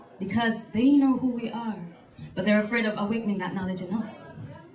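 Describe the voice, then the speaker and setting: Music plays in the background while the voice rises and falls with ordinary pitch variation. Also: woman. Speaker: spoken word poet. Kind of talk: spoken word poetry performance. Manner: powerful delivery.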